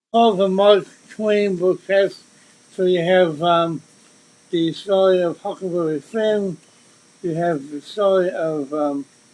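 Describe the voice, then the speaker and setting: A high-pitched man talks very slowly amid noticeable background noise. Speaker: mentalist and musician. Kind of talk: interview conversation. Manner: halting, repetitive starts.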